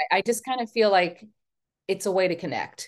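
A woman speaks with an American accent. Her voice shows vocal fry. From Texas. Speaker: memoir author. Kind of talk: casual interview. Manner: talkative.

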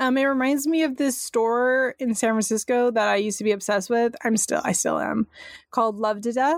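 Fairly high in pitch, a woman talks in an unremarkable speaking voice with fairly even intonation. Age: 30s. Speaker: podcast co-host. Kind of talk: casual chat.

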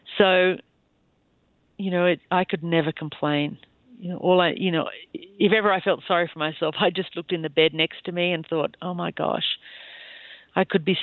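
Talking at a fairly quick pace, a woman with an Australian accent holds a fairly low pitch in a monotone, flat intonation. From Australia, rural New South Wales (Bowral). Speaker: former cross-country skier. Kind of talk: interview, personal life story.

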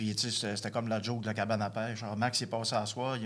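A man speaks very fast in a medium pitch. His intonation stays flat and monotone. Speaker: recovering addict. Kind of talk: testimony. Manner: halting.

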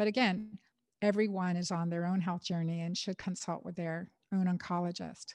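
A woman speaks with an American accent at medium pitch. The recording is very clean and dry, with a close sound, no echo and a silent background. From United States, first-generation American in a Portuguese and Middle Eastern household. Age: 50s. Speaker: gynecologist and author. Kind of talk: interview. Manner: animated.

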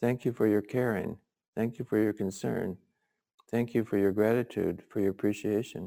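In a very clean recording with a silent background, a man speaks at a moderate pace in a dark, mellow tone, his pitch fairly low, his loudness very even and his intonation fairly even. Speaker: Zen teacher. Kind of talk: dharma talk. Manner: halting.

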